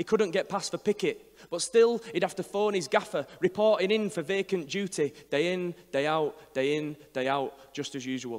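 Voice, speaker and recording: Speaking at a moderate pace with ordinary pitch variation, a man is heard over a quiet background. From Northern England. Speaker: performance poet. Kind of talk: poetry reading. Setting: live venue. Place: hall. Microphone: handheld.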